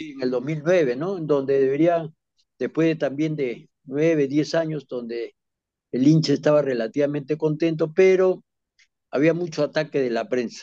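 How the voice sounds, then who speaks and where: The tone is dark and mellow. Pace is moderate, and pitch varies in an ordinary way. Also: man, fairly high pitch for a man. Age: 80s+. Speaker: former football club president. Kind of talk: interview. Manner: halting.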